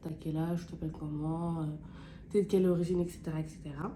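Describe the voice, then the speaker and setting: A woman's somewhat breathy, fairly low voice with a dark, mellow tone. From France, Clermont-Ferrand area, of Guinean heritage. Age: 20s. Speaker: beauty YouTuber. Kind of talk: casual chat while doing makeup. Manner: casual, hesitant with many fillers.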